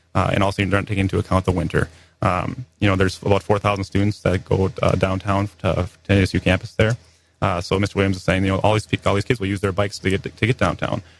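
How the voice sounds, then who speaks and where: The speech is very fast, with music in the background. The sound is dry and close, with no echo. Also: man. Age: 20s. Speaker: political candidate. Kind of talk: radio interview.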